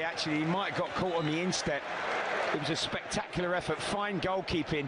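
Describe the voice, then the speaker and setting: A man talks at a very fast pace, high-pitched, with monotone, flat intonation. His loudness stays very even over noticeable background noise. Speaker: football co-commentator or pundit. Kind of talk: live football match analysis. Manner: measured, explanatory.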